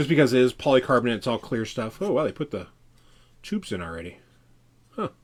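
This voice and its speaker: Pitch swings very widely around a medium level in this man's voice, with audible vocal fry. He talks very fast yet stops for long, frequent pauses. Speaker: RC hobby livestreamer. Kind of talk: live build stream. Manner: casual, chatty.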